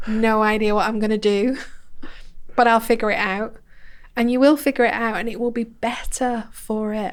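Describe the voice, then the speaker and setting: This woman speaks with a northern English accent at a moderate pace. Her voice is fairly high, with fairly even intonation. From northern England, Bolton. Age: 40s. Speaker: personal growth coach. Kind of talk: podcast interview.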